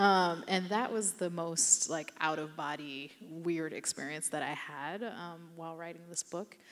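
In a normal speaking voice, a woman talks at a fairly slow pace with hardly any pauses. Her fairly low pitch shows ordinary variation, and her loudness swings widely. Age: 30s. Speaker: novelist; author on a panel. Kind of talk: panel discussion. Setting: stage with audience. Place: hall. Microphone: handheld.

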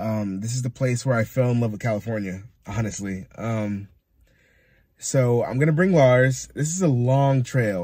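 This man's voice is somewhat breathy, with a dark, mellow tone. The sound is dry, with no echo. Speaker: van-life vlogger. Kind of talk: casual vlog chat. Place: car. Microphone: phone near.

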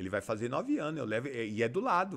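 A man's voice with very wide pitch swings. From Brazil, São Paulo state (Campo Limpo Paulista); São Paulo state, Brazil. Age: 40s. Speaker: community leader and amateur football club president; podcast guest. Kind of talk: casual interview. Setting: studio. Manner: halting, with many fillers. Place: studio. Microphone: studio mic.

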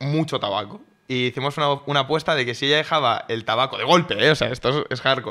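A man speaks at a fairly high pitch with ordinary pitch variation. His pace is very fast. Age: 20s. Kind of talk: casual chat. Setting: studio.

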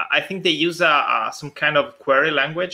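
A man speaks at a moderate pace in an Italian accent, his tone bright and sharp against a quiet background. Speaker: conference host; conference session moderator. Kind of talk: live Q&A moderation. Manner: halting. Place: home room. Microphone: video call.

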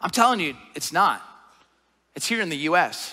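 A man speaks in a raised, projected voice. His tone is bright and sharp, over a quiet background. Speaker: pastor. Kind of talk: sermon. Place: church. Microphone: headset.

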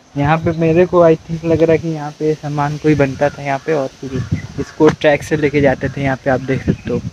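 With hardly any pauses, a man talks at a moderate pace in a flat monotone, the sound dry with no echo but with noticeable background noise. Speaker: vlogger. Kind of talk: casual vlog chat. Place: open country. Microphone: phone near.

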